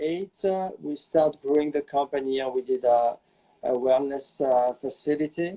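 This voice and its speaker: A man with a French accent has a dark, mellow tone and a fairly high pitch. He speaks at a fairly slow pace in a dry, close sound with no echo. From France, small village. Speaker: celebrity hairstylist and salon owner. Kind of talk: interview. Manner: halting, many fillers.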